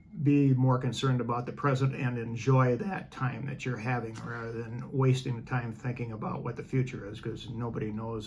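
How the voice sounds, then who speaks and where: A man of medium pitch talks at a fairly quick pace with hardly any pauses. Audible room echo and noticeable background noise fill the recording. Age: 70s. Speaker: retired businessman and former teacher. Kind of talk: interview. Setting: in person, travelling in England. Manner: halting.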